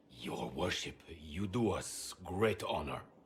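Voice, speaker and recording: A man puts on a growling character voice, very deep and low in pitch, speaking at a fairly slow pace. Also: lively intonation. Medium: video game. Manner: courteous, formal.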